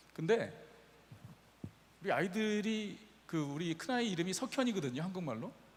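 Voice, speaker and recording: In a room with audible echo, a man speaks with a high pitch and lively intonation. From Brazil (Korean immigrant family). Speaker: pastor. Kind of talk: sermon. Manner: casual, anecdotal storytelling.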